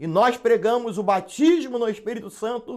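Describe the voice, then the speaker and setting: Lively intonation marks a man's high-pitched voice. He speaks at a moderate pace. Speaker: pastor and Bible teacher. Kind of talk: live online Sunday school lesson. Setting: live internet broadcast.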